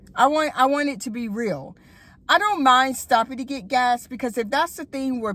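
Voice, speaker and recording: A woman with a Southern accent talks at a fairly quick pace. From Florida. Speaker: YouTuber. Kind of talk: casual vlog monologue. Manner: conversational with many fillers.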